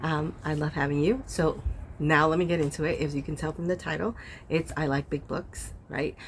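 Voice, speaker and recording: A woman speaks quietly with a very deep, low voice. Her pace is fairly quick and her intonation fairly even. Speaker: book youtuber. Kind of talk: casual vlog chat. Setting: outdoors. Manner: quiet, talking low.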